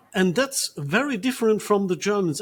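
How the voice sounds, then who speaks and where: A man's high-pitched voice at a moderate pace. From Germany, Ruhr Valley. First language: German. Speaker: priest. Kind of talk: interview. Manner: halting, many fillers.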